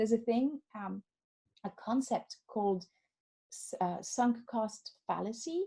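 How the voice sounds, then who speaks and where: A woman's somewhat breathy voice with a French accent. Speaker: life coach. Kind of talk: webinar. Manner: animated.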